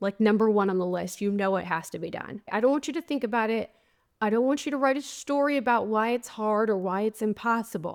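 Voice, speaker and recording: Her pitch fairly high and its variation ordinary, a woman speaks at a fairly quick pace in an ordinary speaking voice, recorded very cleanly against a silent background. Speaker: podcast host and life coach. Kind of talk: solo podcast monologue. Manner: conversational.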